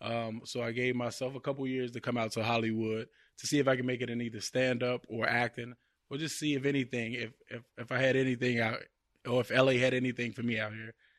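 A man talks at a very fast pace with an American accent and medium pitch. His intonation is monotone and flat. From Chicago. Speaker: actor. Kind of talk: casual chat. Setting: studio.

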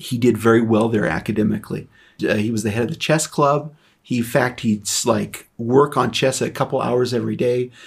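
Speaking at a moderate pace, a man has a medium pitch with ordinary pitch variation and some vocal fry. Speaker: podcast host. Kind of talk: casual chat. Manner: halting, stumbles over words.

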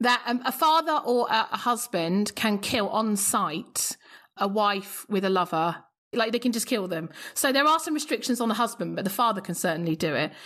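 A woman talks at a moderate pace in an ordinary speaking voice. Her pitch is fairly high, with lively intonation. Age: 40s. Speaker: classicist podcast host. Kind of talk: casual interview chat. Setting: video call.

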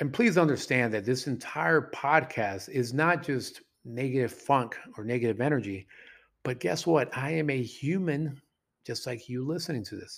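On a very clean recording with a silent background, a man speaks in an animated tone at medium pitch and a moderate pace, with ordinary pitch variation. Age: 40s. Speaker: dating coach and podcast host. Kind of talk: solo podcast monologue.

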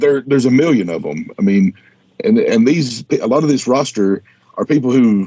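At a moderate pace, a man with an Appalachian accent speaks in a dark, mellow tone at medium pitch, with very wide pitch swings. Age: 40s. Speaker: podcast co-host, action figure expert. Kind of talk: casual interview. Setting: studio.

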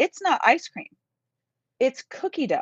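A woman speaks with a Midwestern American accent at a moderate pace. The sound is dry and close, with no echo. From central Kansas. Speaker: university music professor and conductor. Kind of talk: casual interview. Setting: live video stream.

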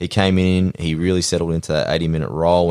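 In an Australian accent, a man speaks at a fairly quick pace with a very deep, low pitch. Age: 30s. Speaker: podcast host. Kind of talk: casual chat.

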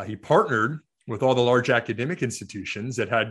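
In an American accent, a man talks at a medium pitch with ordinary pitch variation against a quiet background. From US Midwest, rural Iowa. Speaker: investment firm CEO. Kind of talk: interview.

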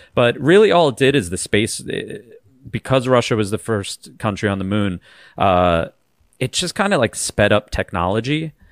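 On a very clean recording with a silent background and a dry, close sound without echo, a man with an American accent has an unremarkable speaking voice, medium pitch, lively intonation and a moderate pace. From Long Island, New York. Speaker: fellow podcaster, guest panelist. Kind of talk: casual chat.

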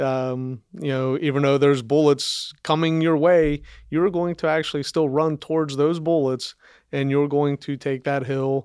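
A man with an American accent and a fairly high pitch speaks in a monotone, flat intonation over a quiet background. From Northern Kentucky, US (Campbell County). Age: 50s. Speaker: police sergeant and canine handler. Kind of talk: interview about personal life. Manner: hesitant, many fillers.

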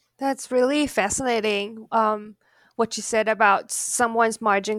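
Recorded very cleanly against a silent background, a woman with a Chinese accent speaks at a moderate pace and fairly high pitch with fairly even intonation. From China. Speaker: podcast interviewer, academic. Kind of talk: academic interview. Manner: halting, many fillers.

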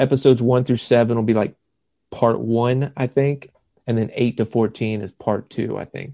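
Speaking slowly in a Southern US accent, a man with a medium pitch and a dark, mellow tone keeps a monotone, flat intonation, and the sound is dry and close with no echo. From South Carolina. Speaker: actor. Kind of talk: casual chat.

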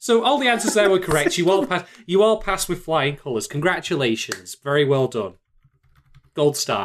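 A man speaks with a high pitch and an animated tone. His pitch swings very widely. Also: moderate pace. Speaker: podcast co-host. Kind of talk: casual banter. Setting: video recording, drinking. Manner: joking, animated.

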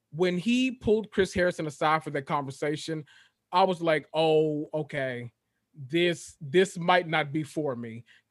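A man's fairly high voice with a Memphis accent, at a fairly slow pace, with ordinary pitch variation. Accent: Southern US (Memphis). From Memphis, Tennessee. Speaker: guest. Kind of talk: casual chat. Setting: video call.

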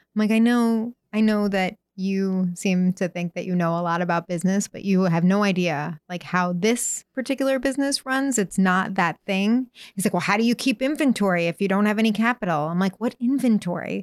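On a very clean recording with a silent background and a dry, close sound with no echo, a woman with an American accent speaks fairly quickly at a medium pitch, with hardly any pauses, ordinary pitch variation and an unremarkable speaking voice. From New York City area. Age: 40s. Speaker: tattoo artist. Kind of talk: interview.

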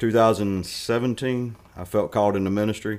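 A man with a North Carolina accent talks with fairly even intonation on a very clean recording with a silent background. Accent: North Carolina Southern. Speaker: retired Marine and school board candidate. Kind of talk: interview.

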